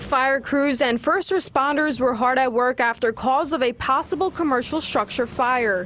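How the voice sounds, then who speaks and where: With music in the background, a high-pitched woman speaks at a moderate pace, her pitch varying in an ordinary way, her loudness very even and her speech hardly broken by pauses. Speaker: TV news reporter. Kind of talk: TV news report.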